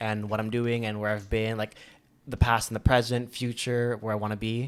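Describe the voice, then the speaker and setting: The recording is very clean, with a silent background, as a man speaks in a normal speaking voice. He uses a medium pitch and a fairly quick pace. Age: 20s. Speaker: podcast guest. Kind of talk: casual chat.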